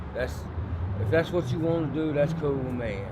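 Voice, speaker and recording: Someone with a Southern US accent talks at a moderate pace over noticeable background noise. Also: man. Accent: Southern US (Georgia). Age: 50s. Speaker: homeless man, former prisoner. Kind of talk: documentary interview answer.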